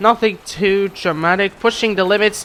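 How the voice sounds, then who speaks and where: A man with a high pitch and a bright, sharp tone uses a raised, projected voice at a fairly slow pace. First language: not English. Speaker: gaming youtuber. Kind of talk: video game commentary. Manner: casual, occasionally stumbling over words.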